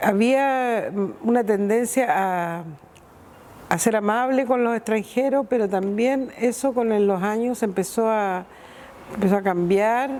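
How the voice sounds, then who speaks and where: At a very slow pace, a woman speaks in a fairly high pitch with ordinary pitch variation, with noticeable background noise behind her. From Chile, Iquique. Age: 60s. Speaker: returned emigrant. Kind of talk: documentary interview testimony.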